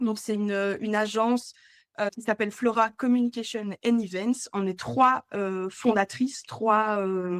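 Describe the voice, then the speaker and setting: In a Belgian accent, a woman speaks slowly-ish and at a fairly high pitch with fairly even intonation, on a very clean recording with a silent background. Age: 20s. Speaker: entrepreneur, agency co-founder and hotel sales rep. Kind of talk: podcast interview. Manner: hesitant, many filler sounds.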